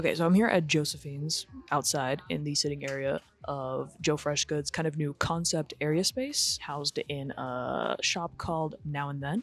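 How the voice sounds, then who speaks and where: A woman speaks quietly in an American accent, her pitch very deep and low. Her intonation is fairly even and her pace moderate. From Los Angeles. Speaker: lifestyle vlogger. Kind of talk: casual vlog talk. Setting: outdoor cafe patio.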